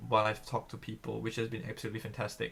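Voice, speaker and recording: This man's voice carries vocal fry. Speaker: student government candidate. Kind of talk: candidate forum answer. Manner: loud; halting, many fillers.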